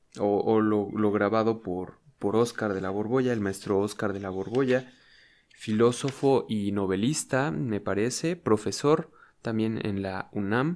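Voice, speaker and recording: Recorded very cleanly against a silent background, a man speaks at a fairly slow pace with a fairly low pitch and ordinary pitch variation. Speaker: ASMR youtuber. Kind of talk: casual intro before reading aloud. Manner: normal speaking voice, not whispered; hesitant, with many fillers.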